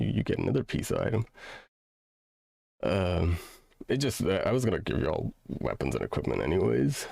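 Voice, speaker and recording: On a very clean recording with a silent background, a man with a very deep, low pitch and vocal fry makes very wide pitch swings, holds very even loudness and leaves long, frequent pauses. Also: fairly quick pace. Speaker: game master. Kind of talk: casual chat. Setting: live stream. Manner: halting, many fillers.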